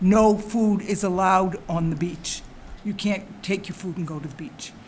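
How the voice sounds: At a moderate pace, a woman talks with medium pitch, a slightly mellow tone and ordinary pitch variation.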